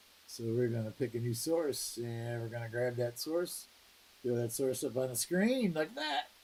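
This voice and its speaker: A man with an unremarkable speaking voice talks at a moderate pace. His intonation is lively. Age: 60s. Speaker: coin roll hunting live streamer. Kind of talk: casual live stream chat.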